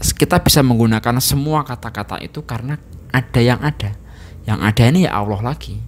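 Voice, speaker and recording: A man speaks at a fairly quick pace in a normal speaking voice. His pitch is medium, with ordinary variation. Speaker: Islamic religious teacher. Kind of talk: religious lecture. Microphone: handheld.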